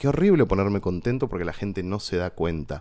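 The man has a fairly low pitch. He talks at a moderate pace. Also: very clean recording, silent background. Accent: Argentine. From Argentina. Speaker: theatre director and actor. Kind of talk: casual chat.

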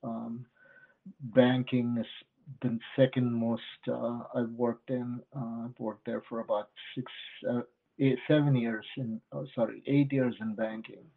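A man's medium-pitched, monotone, flat voice at a fairly slow pace. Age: 50s. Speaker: investor. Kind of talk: podcast interview.

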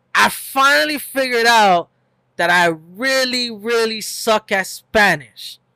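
In a very clean recording with a silent background, the voice is raised and projected, dry and close with no echo, bright and sharp in tone, with ordinary pitch variation at a fairly slow pace. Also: man. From US, Mexican-American family. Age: 20s. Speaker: podcast co-host. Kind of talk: casual chat.

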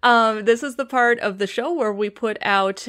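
A woman with a Chicago accent at a moderate pace, with ordinary pitch variation, in a very clean recording against a silent background. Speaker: podcast host. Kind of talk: casual chat.

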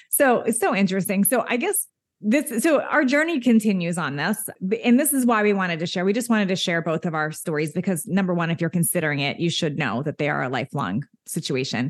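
A woman with a medium pitch talks at a very fast pace. Her pitch swings very widely. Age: 50s. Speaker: fitness coach. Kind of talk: casual chat.

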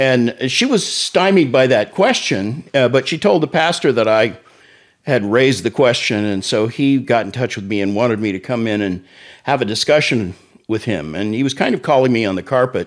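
An unremarkable speaking voice in an American accent moves at a moderate pace with lively intonation. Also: man, medium pitch for a man. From Oklahoma City. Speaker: pastor and ministry executive. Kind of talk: testimony.

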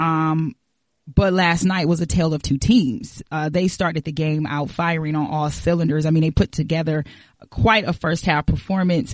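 Recorded dry and close with no echo, a woman speaks at a moderate pace in a very deep, low pitch with ordinary rise and fall. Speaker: podcast producer and moderator. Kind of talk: casual chat.

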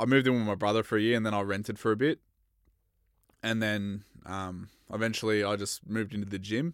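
On a very clean recording with a silent background, a man with an Australian accent talks at a fairly quick pace and a fairly low pitch. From Australia, Bendigo, Victoria. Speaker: mixed martial arts fighter. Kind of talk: casual chat.

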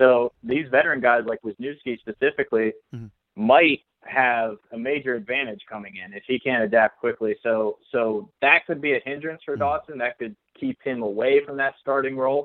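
With an American accent, a man speaks in an unremarkable speaking voice at medium pitch and a fairly quick pace, with ordinary pitch variation and big swings in loudness. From South Central Pennsylvania, Fulton County. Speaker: sports journalist. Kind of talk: casual sports podcast chat.

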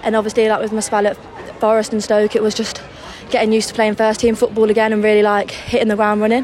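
A woman speaks at a very fast pace in a fairly high pitch with monotone, flat intonation. Crowd noise runs in the background. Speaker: women's football player. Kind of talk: interview.

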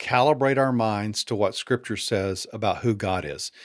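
With an ordinary speaking voice, a man talks at a moderate pace with ordinary pitch variation in a very clean recording over a silent background. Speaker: author and former pastor. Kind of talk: interview conversation.

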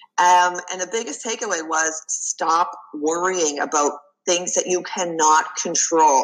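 Speaking at a fairly slow pace, a woman talks with a slight Canadian accent. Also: fairly low pitch for a woman, ordinary pitch variation. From Canada. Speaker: executive coach. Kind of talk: interview.

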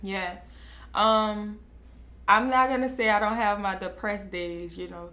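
There is audible room echo around a woman who speaks with an American accent. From New Orleans. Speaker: beauty brand owner. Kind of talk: interview.

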